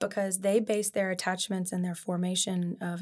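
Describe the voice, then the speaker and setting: A woman's somewhat breathy, medium-pitched voice with monotone, flat intonation at a fairly quick pace, on a very clean recording with a silent background. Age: 40s. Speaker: licensed counselor and play therapist. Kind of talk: casual interview.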